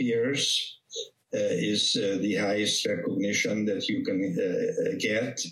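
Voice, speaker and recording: A man is speaking. He has a Hungarian accent. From Hungary. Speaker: vascular surgeon. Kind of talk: interview.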